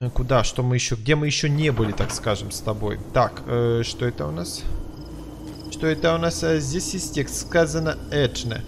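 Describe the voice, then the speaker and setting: Noticeable background noise surrounds a man at a medium pitch. He talks at a moderate pace with very wide pitch swings. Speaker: gaming YouTuber. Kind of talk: let's play commentary. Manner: animated.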